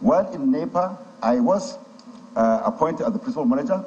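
A man talking at a fairly quick pace. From Nigeria, Kaduna State. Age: 60s. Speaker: ministerial nominee, civil servant. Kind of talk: formal testimony at a hearing. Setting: legislative chamber. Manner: halting. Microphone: podium.

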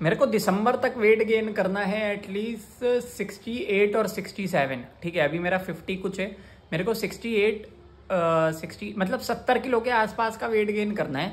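Pausing little, a man with a high pitch speaks at a moderate pace. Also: ordinary pitch variation.

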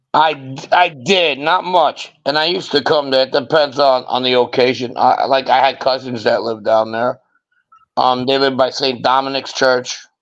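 Over a quiet background, a man speaks at a moderate pace with fairly even intonation. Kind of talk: casual chat. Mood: casual, blunt, profane. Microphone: video call.

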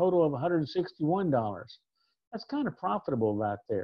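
A man with very wide pitch swings against a quiet background. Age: 60s. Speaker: reimbursement consultant. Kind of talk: educational presentation. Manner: casual. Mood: relaxed, conversational. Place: home room. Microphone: webcam.

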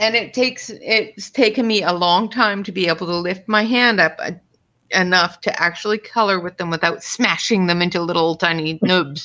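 Bright and sharp in tone, a woman talks at a moderate pace. Her pitch varies in an ordinary way. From Canada. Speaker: coloring channel co-host. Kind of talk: casual chat. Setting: video call. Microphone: video call.

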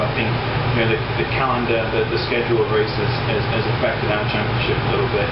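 Amid loud background noise and audible room echo, a man talks at a moderate pace. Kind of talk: interview answer.

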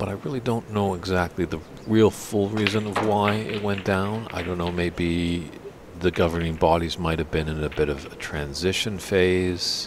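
Noticeable background noise sits behind a man with a very deep, low pitch and a slight Canadian accent. He keeps a moderate pace and fairly even intonation. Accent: slight Canadian twang. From Canada. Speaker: snooker commentator. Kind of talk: live commentary. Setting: commentary booth at snooker tournament.

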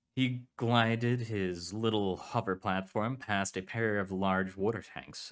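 Unforced voice, reading

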